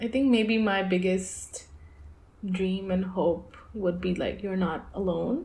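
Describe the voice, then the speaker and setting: A woman at medium pitch, somewhat breathy, at a very slow pace. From Lahore, Pakistan. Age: 20s. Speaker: poet and artist. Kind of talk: casual interview. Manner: halting, filler-heavy.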